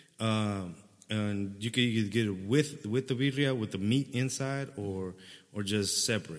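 Fairly low in pitch, a man speaks at a fairly slow pace with ordinary pitch variation. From Dallas, Texas (Oak Cliff). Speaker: comedian. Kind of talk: casual chat.

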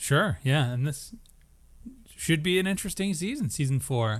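He has an unremarkable speaking voice, fairly high for a man, with lively intonation. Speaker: podcast host. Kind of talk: casual chat. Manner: joking, laughs often.

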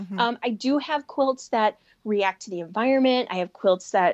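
Speaking with a Chicago accent, a woman uses lively intonation at a fairly high pitch. The sound is dry and close with no echo, and the background is quiet. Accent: Chicago-area American. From Chicago area, US. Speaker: sewing and quilting designer, business owner. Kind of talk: casual interview chat.

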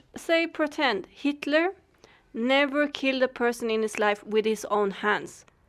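The speaker has a Swedish accent, lively intonation and a fairly slow pace. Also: woman, high pitch for a woman. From Sweden. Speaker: podcast co-host. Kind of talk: casual chat.

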